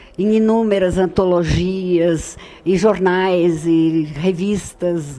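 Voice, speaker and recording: A woman's voice with a dark, mellow tone. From Brazil, São Paulo. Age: 70s. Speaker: writer. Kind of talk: radio interview. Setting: radio studio. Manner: hesitant, many fillers.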